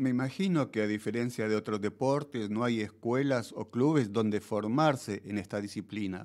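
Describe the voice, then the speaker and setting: At a moderate pace, the speech shows ordinary pitch variation against a quiet background. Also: man. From Argentina. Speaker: radio host. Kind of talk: radio interview. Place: studio. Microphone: studio mic.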